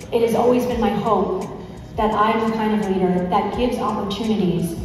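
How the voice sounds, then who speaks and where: Faint music plays in the background as a woman speaks at a fairly quick pace with fairly even intonation, amid strong room echo. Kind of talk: acceptance speech. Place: hall.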